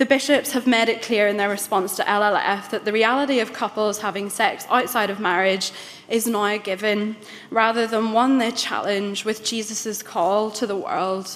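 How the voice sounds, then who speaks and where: A woman's fairly high-pitched voice at a fairly slow pace. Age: 20s. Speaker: church synod lay member. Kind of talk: debate speech. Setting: church assembly chamber with audience. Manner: formal. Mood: earnest, impassioned. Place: hall. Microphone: podium.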